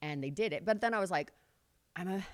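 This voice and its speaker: Over a silent background in a very clean recording, a woman talks at a very fast pace with lively intonation. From California. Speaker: pin-up model. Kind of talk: casual interview.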